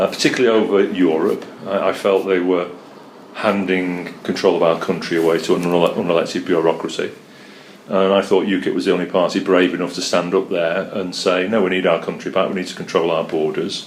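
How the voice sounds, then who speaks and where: A man with a Mancunian accent at a fairly quick pace, with audible room echo and noticeable background noise. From North Manchester, England. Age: 60s. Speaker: political candidate. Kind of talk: interview.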